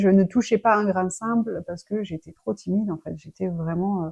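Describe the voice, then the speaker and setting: A woman's voice sits at a medium pitch and varies in an ordinary way. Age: 30s. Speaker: personal development vlogger. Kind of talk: personal life story. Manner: halting, many fillers.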